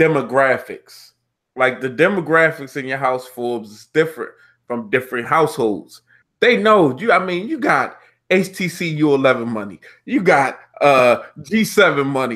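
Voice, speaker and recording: With a Baltimore accent, a man with a fairly high pitch speaks at a moderate pace with lively intonation and big swings in loudness on a very clean recording with a silent background. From Baltimore, Maryland (East Baltimore). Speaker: tech live stream host. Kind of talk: casual chat.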